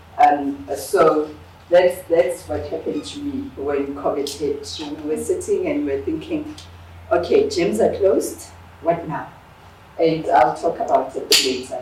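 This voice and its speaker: A woman at a fairly slow pace, with big swings in loudness, audible room echo and noticeable background noise. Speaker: business owner and workshop speaker. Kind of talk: workshop presentation.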